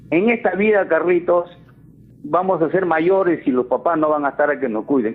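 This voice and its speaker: A man's unremarkable speaking voice, fairly high in pitch, at a moderate pace with lively intonation. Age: 60s. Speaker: caller. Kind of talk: radio call-in.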